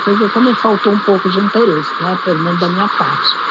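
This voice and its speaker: Her intonation stays fairly even as a woman speaks. Noticeable background noise and audible room echo fill the recording. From Brazil, Manaus. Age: 70s. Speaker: retiree telling family history. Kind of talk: personal testimony via voice message. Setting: phone voice message. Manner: halting, with repetitions.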